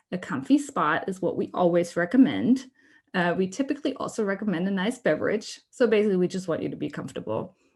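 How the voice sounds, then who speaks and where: Her voice somewhat breathy, a woman with a German accent speaks at a very fast pace and medium pitch, her pitch swinging very widely. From Germany. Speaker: workshop presenter. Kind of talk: online workshop presentation.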